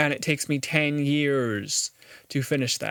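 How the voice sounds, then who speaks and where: A man speaks with a fairly high pitch and ordinary pitch variation. The sound is dry and close with no echo, on a very clean recording with a silent background. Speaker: video blogger. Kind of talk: casual monologue. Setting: talking to camera. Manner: fast; halting, repeats words.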